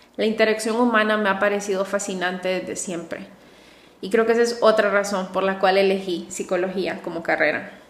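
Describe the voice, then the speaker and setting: Noticeable background noise and audible room echo surround the recording. The woman speaks at a fairly quick pace. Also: medium pitch for a woman. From Honduras, coastal city. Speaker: psychologist and podcast host. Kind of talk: solo podcast monologue. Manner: warm, enthusiastic.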